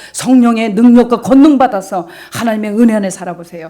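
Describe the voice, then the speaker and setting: A woman's fairly high voice at a very fast pace, over noticeable background noise. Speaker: pastor. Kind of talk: sermon. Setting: church. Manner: animated.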